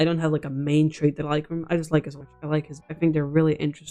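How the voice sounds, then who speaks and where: Music plays in the background. A woman speaks quietly at a fairly low pitch. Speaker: youtuber. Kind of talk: casual chat. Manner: speaking quietly; rambling.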